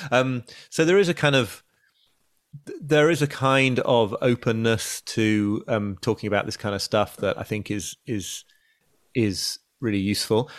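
In a dry, close sound with no echo, a man with an English accent speaks at a medium pitch and a fairly slow pace, with ordinary pitch variation. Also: very clean recording, silent background. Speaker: journalist and author. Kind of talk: interview. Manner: halting.

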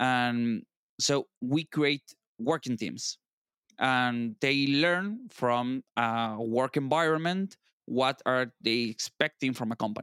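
In a very clean recording with a silent background and a dry, close sound with no echo, a man of medium pitch speaks with an Argentine accent and ordinary pitch variation. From Argentina. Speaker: software architect. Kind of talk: casual interview. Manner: animated, laughs often.

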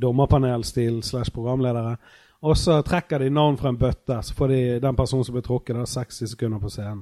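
The voice has a dark, mellow tone and fairly even intonation, moving at a fairly quick pace in a dry, close sound with no echo. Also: man, medium pitch for a man, very clean recording, silent background. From Norway, Bergen (Fyllingsdalen). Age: 30s. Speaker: podcast host, comedian. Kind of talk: casual chat. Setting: backstage at a venue.

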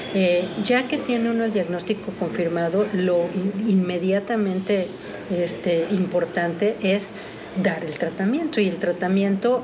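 A woman with a Mexican accent speaks at a fairly slow pace over noticeable background noise, with audible room echo. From Mexico City. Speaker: pediatrician and metabolic disease expert. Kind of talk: expert interview. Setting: recorded at a conference.

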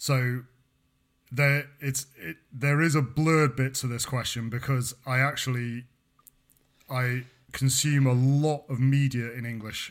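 The delivery is fairly slow, with long, frequent pauses. Intonation stays monotone and flat. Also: man, medium pitch for a man. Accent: British. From Britain. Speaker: podcast co-host and university researcher. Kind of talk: casual chat. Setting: remote call.

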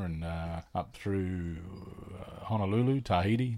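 Very deep and low in pitch, a man with an Australian accent speaks in a dark, mellow tone. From Australia, Adelaide. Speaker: comedian and podcaster. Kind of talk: casual chat.

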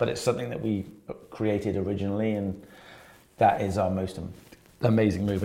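This man talks very fast in a Welsh accent, his fairly low, dark, mellow voice keeping a fairly even intonation broken by long, frequent pauses. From Wales. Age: 30s. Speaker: personal trainer. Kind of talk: casual chat.

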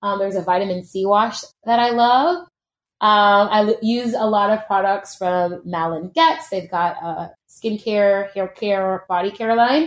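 A woman's normal speaking voice at medium pitch, fairly slow, with ordinary pitch variation. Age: 30s. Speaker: fitness instructor. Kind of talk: casual chat.

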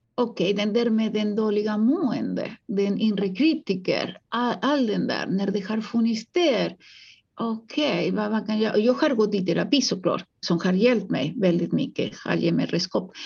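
Over a quiet background, a woman with a fairly high pitch and vocal fry speaks at a moderate pace, her pitch varying in an ordinary way. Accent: Spanish. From Uruguay. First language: Spanish (speaking Swedish). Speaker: psychologist and author. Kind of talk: interview.

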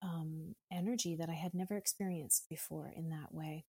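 In a dry, close recording with no echo, a woman with a fairly low pitch and a dark, mellow, somewhat breathy tone speaks at a moderate pace with fairly even intonation. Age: 50s. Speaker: yoga and meditation teacher. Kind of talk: casual chat.

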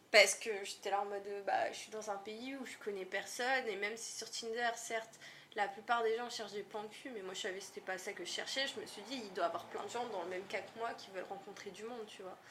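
Fairly quick speech with fairly even intonation, big jumps in volume, audible room echo and noticeable background noise. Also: woman, fairly high pitch for a woman. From northern France, Lille. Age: 20s. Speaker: content moderator. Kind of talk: casual chat.

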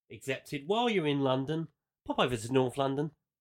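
Fairly high-pitched and fairly quick, a man speaks with an English accent and very wide pitch swings. The sound is dry and close with no echo. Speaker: football podcast host. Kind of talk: casual chat.

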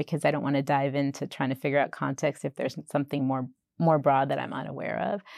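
A woman with a very deep, low pitch and vocal fry talks at a very fast pace in an American accent, with dry, close sound, no echo, and a quiet background. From Boston, US. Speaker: chief operations officer at a digital bank. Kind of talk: casual interview conversation. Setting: in-person interview at her office.

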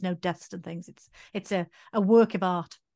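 Spoken with a Welsh accent, the dark, mellow tone comes through fairly even intonation in a dry, close sound with no echo against a quiet background. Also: woman. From Wales. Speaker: doctor and podcast co-host. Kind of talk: casual chat.

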